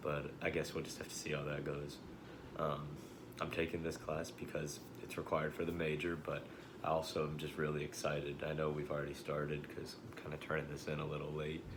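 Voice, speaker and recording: With an American accent, a man speaks in a very deep, low voice with flat, monotone intonation, amid noticeable background noise and audible room echo. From Central Texas, hill country. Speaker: college student. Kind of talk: class introduction video. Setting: self-recorded video. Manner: hesitant, many fillers.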